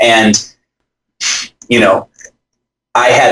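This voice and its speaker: A man is speaking. He has an Upper Midwest accent. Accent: Upper Midwest American. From US Midwest, southern Wisconsin. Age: 30s. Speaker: author. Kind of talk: interview. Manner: animated.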